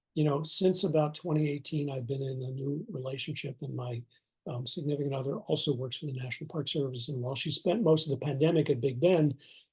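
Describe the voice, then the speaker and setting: The voice is somewhat breathy, with an American accent. It runs at a very fast pace with ordinary pitch variation. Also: man, fairly high pitch for a man. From eastern US. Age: 60s. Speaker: retired national park superintendent. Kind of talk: interview. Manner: halting, many fillers.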